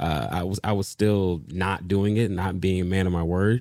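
Very deep and low, a man's voice carries a dark, mellow tone and an American accent, with ordinary pitch variation in a very clean recording with a silent background. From Detroit, Michigan. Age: 20s. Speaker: church creative director. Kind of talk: casual chat. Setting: guest's own studio.

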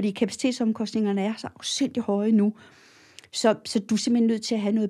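At a fairly high pitch, a woman speaks somewhat breathily in a dark, mellow tone with monotone, flat intonation. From Copenhagen, Denmark. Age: 60s. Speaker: cattle feeding advisor. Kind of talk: interview. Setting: studio. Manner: hesitant, many filler sounds.

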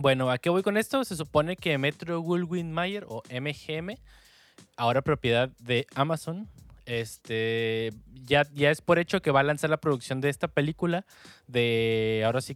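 Recorded very cleanly with a silent background and a dry, close sound with no echo, a man speaks at a fairly slow pace in a Mexican accent with lively intonation. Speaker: podcast host. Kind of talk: casual chat.

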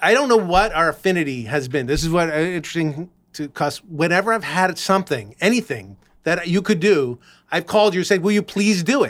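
A man with an American accent speaks at a fairly quick pace, his high voice carrying lively intonation. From Los Angeles. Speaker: podcast host. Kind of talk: casual chat. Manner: hesitant, many fillers.

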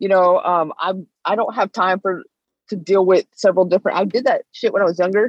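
A woman with an American accent in an ordinary speaking voice, medium in pitch, fairly quick, with fairly even intonation. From US West Coast, Northern California Bay Area. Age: 30s. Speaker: bare knuckle fighter. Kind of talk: casual interview.

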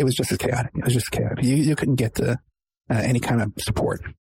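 Speaking at a very fast pace, a man has a somewhat breathy voice and a dark, mellow tone. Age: 50s. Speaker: podcast host and private investigator. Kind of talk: interview.

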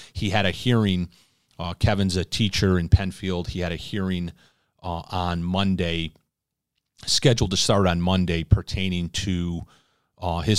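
A man's very deep, low voice at a moderate pace with fairly even intonation, dry and close with no echo, in a very clean recording with a silent background. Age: 40s. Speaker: podcast host. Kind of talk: casual chat.

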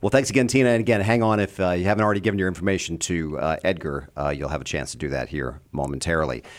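A man speaks in a very deep, low pitch with vocal fry. His pitch swings very widely. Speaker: fill-in radio host and fundraising director. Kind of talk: radio host. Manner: friendly, conversational.

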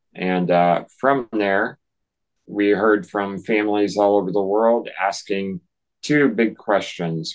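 A man speaks very slowly in a fairly low voice, his intonation fairly even. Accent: American. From North Carolina. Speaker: author and speaker, nonprofit founder. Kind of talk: casual interview. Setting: video call.

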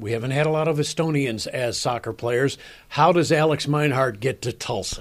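On a very clean recording with a silent background, a man with an American accent has an unremarkable speaking voice, fairly high in pitch, with ordinary pitch variation and a moderate pace. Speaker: sports radio host. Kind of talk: interview.

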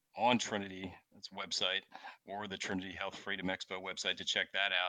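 Fairly quick speech from a man with a fairly low pitch and a bright, sharp tone. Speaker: chiropractor. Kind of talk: interview conversation. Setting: video call.

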